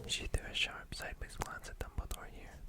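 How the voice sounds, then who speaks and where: Whispering at a fairly quick pace, over noticeable background noise. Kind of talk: ASMR book reading to help sleep. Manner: soft whispering.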